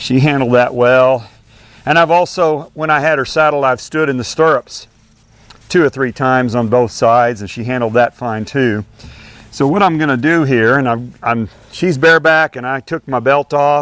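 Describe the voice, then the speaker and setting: A man speaks in an unremarkable speaking voice at medium pitch. His pitch varies in an ordinary way, and his pace is moderate. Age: 60s. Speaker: horse trainer. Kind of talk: tutorial. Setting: outdoors. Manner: casual.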